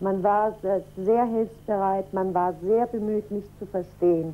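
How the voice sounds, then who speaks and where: This woman's voice has a dark, mellow tone. She speaks at a fairly slow pace. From Germany. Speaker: teacher's wife. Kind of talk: interview. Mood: calm, friendly. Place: home room.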